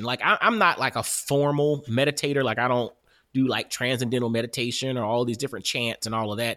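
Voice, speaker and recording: A man with an American accent, bright, sharp tone, ordinary pitch variation and a fairly quick pace, on a very clean recording with a silent background. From US South, Augusta, Georgia. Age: 40s. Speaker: podcast host and author. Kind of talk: casual interview chat.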